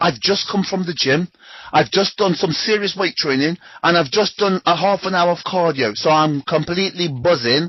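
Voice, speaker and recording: With ordinary pitch variation, a man speaks in a high voice. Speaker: trading coach. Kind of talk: interview. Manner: fast.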